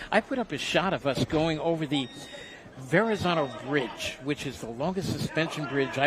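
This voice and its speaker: A man with a Brooklyn accent, a high pitch and lively intonation at a moderate pace, with noticeable background noise. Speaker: boxing commentator. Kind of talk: casual chat; live commentary. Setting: ringside at boxing event.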